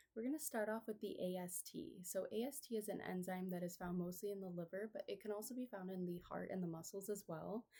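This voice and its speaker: A woman talks very fast with hardly any pauses, at medium pitch with ordinary pitch variation. Her voice is somewhat breathy, with a dark, mellow tone. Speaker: nursing student. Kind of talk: patient education role-play. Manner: hesitant fillers.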